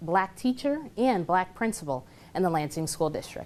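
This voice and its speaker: Lively intonation marks a woman's unremarkable speaking voice at a moderate pace. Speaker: TV news anchor and reporter. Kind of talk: TV news anchoring. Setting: studio.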